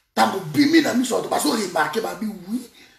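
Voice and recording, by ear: A man talks fast at a high pitch with vocal fry and lively intonation. Room echo is audible.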